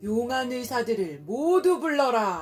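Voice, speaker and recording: A woman's very slow speech with very wide pitch swings, music in the background. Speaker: kindergarten teacher; award-winning storyteller. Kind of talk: bedtime story reading to a child. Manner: expressive storytelling with character voices.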